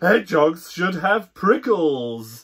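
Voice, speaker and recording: In a gruff, put-on character voice, a man speaks at a high pitch with very wide pitch swings. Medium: read story. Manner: gruff, snorting.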